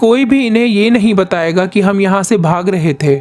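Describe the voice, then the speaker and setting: A man's high-pitched voice, moving with ordinary pitch variation, comes through noticeable background noise. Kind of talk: movie plot recap narration.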